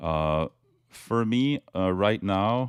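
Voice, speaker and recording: With a French accent, a man is heard in a very clean recording with a silent background and a dry, close sound with no echo. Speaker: crypto YouTuber, chart analyst. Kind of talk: technical analysis commentary. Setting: webcam video recording. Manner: halting, many fillers.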